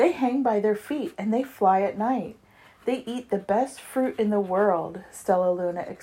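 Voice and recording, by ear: The voice is natural while reading aloud. Pitch shifts in an ordinary way.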